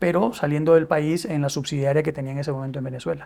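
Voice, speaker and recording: The recording is very clean against a silent background. A man's fairly quick speech keeps a fairly even intonation. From Peru. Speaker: business executive. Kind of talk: interview. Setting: studio. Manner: hesitant, many fillers and repetitions.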